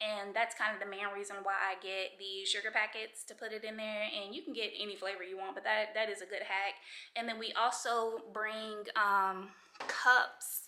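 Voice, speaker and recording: A woman with a fairly high pitch speaks in a bright, sharp tone, her intonation flat and monotone. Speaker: vlogger. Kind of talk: casual vlog talk to camera. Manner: fast; rambling, with many fillers.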